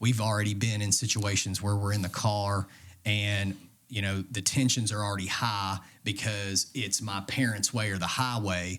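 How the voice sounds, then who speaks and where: In an East Tennessee accent, a man with a fairly low pitch speaks at a moderate pace in a monotone, flat intonation, captured on a very clean recording with a silent background. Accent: East Tennessee Southern US. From US South, Knoxville, Tennessee. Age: 20s. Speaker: bodybuilder. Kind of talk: casual chat.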